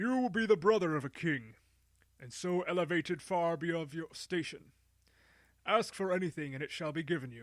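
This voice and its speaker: A man puts on a character voice, pitched high with lively intonation. His loudness swings widely, and the recording is very clean with a silent background. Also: moderate pace. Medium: read story. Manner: haughty.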